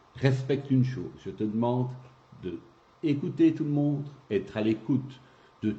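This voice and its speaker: Somewhat breathy and dark, mellow in tone, a man speaks at a medium pitch and a fairly slow pace with ordinary pitch variation. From Belgium, Gaume (Rachecourt). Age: 60s. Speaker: local election candidate. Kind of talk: interview.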